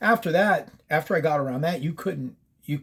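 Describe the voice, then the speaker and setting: A man speaks at a fairly high pitch with lively intonation. His voice is somewhat breathy and moves at a moderate pace. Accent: American. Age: 60s. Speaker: paranormal storyteller. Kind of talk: casual storytelling. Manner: casual, profane, with many fillers.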